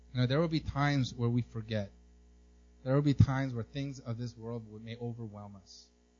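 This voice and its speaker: With music in the background, the speaker talks at a fairly quick pace with fairly even intonation and big swings in loudness. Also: man, medium pitch for a man. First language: not English. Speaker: pastor. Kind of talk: sermon. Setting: church. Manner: halting, frequent repetitions.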